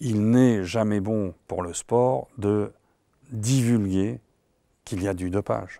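Over a quiet background, a man's fairly low voice comes through dark and mellow, in a dry sound with no echo. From France. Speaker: economist, professor emeritus; professor emeritus. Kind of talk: interview. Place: studio. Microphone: lapel.

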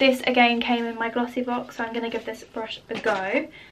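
A woman talks at a high pitch with a British accent. Light background noise sits behind her. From UK. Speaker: beauty YouTuber. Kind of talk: makeup tutorial vlog. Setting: home, filming at her desk under lamp light. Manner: casual and chatty. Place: home room.

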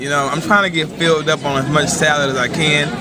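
A man speaks over loud background noise. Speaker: fitness vlogger. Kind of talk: casual vlog chat. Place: cafe. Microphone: phone near.

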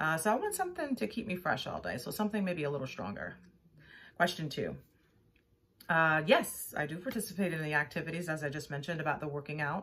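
A woman talks at a very fast pace with lively intonation and a very deep, low pitch. Light background noise is audible. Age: 50s. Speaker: actor auditioning. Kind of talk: self-tape audition answers. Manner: hesitant, with fillers. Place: home room. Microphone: phone near.

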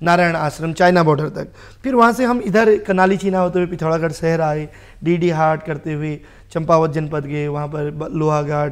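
Against a quiet background, a man with a fairly high pitch speaks with ordinary pitch variation. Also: moderate pace. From Kumaon, Uttarakhand (Bageshwar, then Haldwani); Uttarakhand. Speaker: social worker and advocate; talk show guest. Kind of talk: TV talk show interview. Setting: TV studio. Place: studio. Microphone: lapel.

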